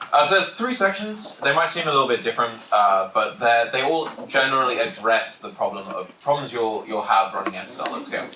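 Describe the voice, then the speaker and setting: Loud and at a fairly quick pace with hardly any pauses, a man at a medium pitch swings very widely in pitch amid noticeable background noise and audible room echo. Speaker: security engineer giving conference talk. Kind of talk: technical conference talk. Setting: packed conference room with audience. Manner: fast, hurried.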